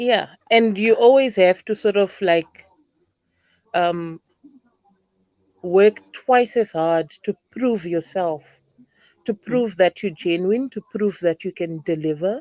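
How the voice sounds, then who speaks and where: A woman speaks at a very slow pace and medium pitch, with long, frequent pauses. Her tone is dark and mellow, and the sound is dry and close with no echo. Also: ordinary pitch variation. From Zimbabwe. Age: 30s. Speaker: teacher. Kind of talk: interview answer.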